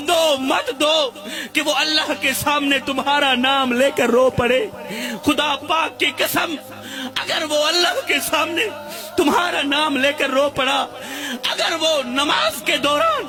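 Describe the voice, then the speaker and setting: Over music in the background, a man uses a raised, projected voice at an extremely high pitch, with ordinary pitch variation and very even loudness. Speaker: religious preacher. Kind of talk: religious sermon. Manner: emotional, impassioned.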